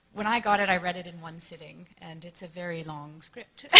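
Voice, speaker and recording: A woman with a Canadian accent, medium pitch and ordinary pitch variation, amid noticeable background noise. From Canada. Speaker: actress. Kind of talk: press panel answer. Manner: casual, hesitant.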